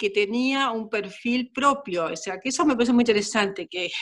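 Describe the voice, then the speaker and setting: Using a normal speaking voice, a woman talks at a moderate pace, pitched fairly high with ordinary pitch variation. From Argentina, Chaco. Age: 60s. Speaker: dancer and choreographer. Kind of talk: interview conversation.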